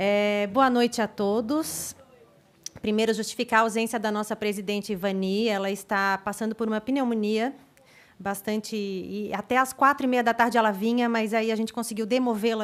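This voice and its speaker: This woman has a fairly high pitch and fairly even intonation. It is an unremarkable speaking voice at a moderate pace. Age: 30s. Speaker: council representative. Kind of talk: public hearing speech, partly read aloud. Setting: legislative assembly public hearing.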